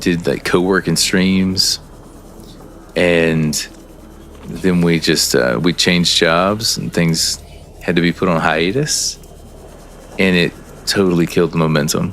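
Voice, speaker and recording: A man's very deep, low voice at a fairly slow pace, with ordinary pitch variation, long, frequent pauses and noticeable background noise. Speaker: gaming streamer. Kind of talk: casual live-stream chat while gaming. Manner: halting, repeats words.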